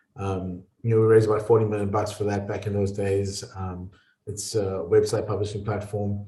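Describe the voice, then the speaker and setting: With a South African accent, a man talks at a fairly quick pace in a fairly low, somewhat breathy voice with a dark, mellow tone and audible room echo. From South Africa, small coastal town. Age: 40s. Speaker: entrepreneur and investor. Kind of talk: podcast interview.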